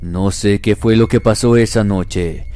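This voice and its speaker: A man with a fairly low pitch speaks at a fairly slow pace in a solemn, dramatic tone. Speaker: horror story narrator. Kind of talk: scripted horror story narration, first-person ghost tales read aloud. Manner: slow, hushed and suspenseful, with dramatic pauses and a tense, eerie tone; solemn and deliberate, building dread toward the frightening moments.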